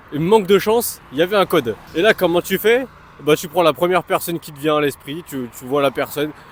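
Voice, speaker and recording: Over noticeable background noise, a high-pitched man talks at a fairly quick pace. His intonation is lively and his loudness swings widely. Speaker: fitness vlogger. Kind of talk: vlog. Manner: casual, filler-heavy.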